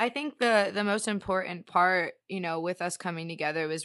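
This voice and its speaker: A woman with an American accent and a normal speaking voice talks at a fairly quick pace, fairly low in pitch for a woman, with fairly even intonation over a quiet background. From South Florida (Fort Lauderdale, Miami). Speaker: singer and keyboard player. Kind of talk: casual interview chat.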